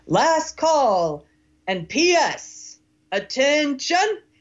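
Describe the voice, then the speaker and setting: Shouting in a put-on character voice, the speaker uses a high pitch. The delivery jumps through very wide pitch swings. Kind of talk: military. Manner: shouting, commanding.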